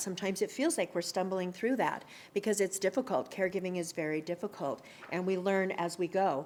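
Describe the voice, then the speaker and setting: On a very clean recording with a silent background, a woman talks at a moderate pace and medium pitch, with ordinary pitch variation. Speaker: adult day services speaker. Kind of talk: presentation. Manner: loud.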